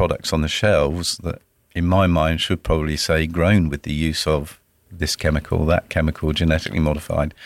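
The recording is very clean, with a silent background. A man with a very deep, low pitch speaks at a moderate pace. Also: dry, close sound with no echo. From southern England, Dorset. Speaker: tea company sales manager. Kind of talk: interview.

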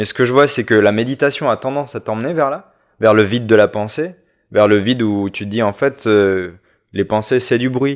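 Against a quiet background, a man of medium pitch speaks at a moderate pace with ordinary pitch variation. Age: 30s. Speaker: visual artist and art teacher. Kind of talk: casual chat. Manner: halting, many repetitions.

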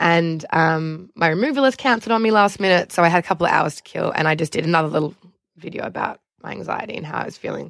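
A woman speaks at a very fast pace with a fairly low pitch. Her loudness swings widely while her pitch variation stays ordinary. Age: 30s. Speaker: reality TV alum and Instagram influencer. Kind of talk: casual chat.

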